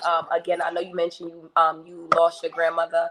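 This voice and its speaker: This woman has a Brooklyn accent. Her voice is fairly low in pitch. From Brooklyn, New York. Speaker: business owner. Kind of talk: panel discussion.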